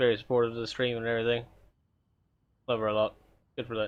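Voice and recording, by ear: A man speaks in a clear, smooth tone with little pitch movement.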